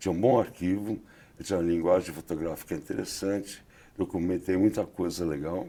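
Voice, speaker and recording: On a very clean recording with a silent background, a man with a very deep, low voice and a dark, mellow tone speaks at a fairly quick pace with fairly even intonation. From Brazil, São Paulo. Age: 70s. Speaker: photographer. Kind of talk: interview.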